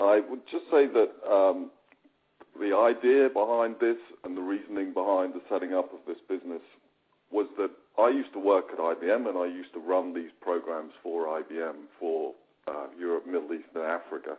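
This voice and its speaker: A man with a British accent speaks at a fairly low pitch, using ordinary pitch variation. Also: moderate pace. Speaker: company founder. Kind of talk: webinar presentation.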